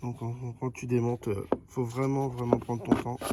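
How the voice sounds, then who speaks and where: Against noticeable background noise, a man speaks at a moderate pace with a medium pitch and flat, monotone intonation. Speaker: amateur mechanic. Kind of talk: tutorial. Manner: halting.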